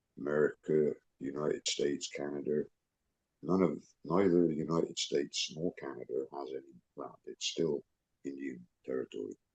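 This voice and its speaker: With an English accent, the speaker talks at a moderate pace with long, frequent pauses, fairly even intonation and vocal fry. The sound is dry and close, with no echo. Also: man, very deep, low pitch for a man. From England. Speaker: self-described international legal advisor. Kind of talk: video call discussion.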